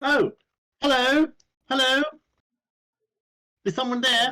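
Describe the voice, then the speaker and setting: In a put-on character voice, a man projects loudly at an extremely high pitch and a fairly slow pace. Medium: actual play. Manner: wary, repeated calling out.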